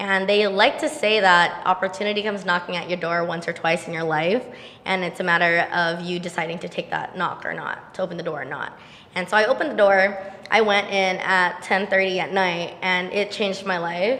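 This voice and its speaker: A woman talks at a fairly quick pace with fairly even intonation and a medium pitch. Noticeable background noise runs underneath. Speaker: entrepreneur. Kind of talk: podcast interview.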